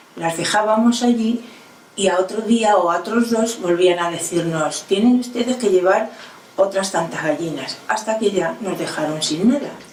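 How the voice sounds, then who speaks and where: A woman's medium-pitched voice at a moderate pace with ordinary pitch variation, plus audible room echo and noticeable background noise. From Spain, Toledo province (rural Castile). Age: 80s+. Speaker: elderly woman recalling her childhood. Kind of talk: oral history testimony. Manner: halting.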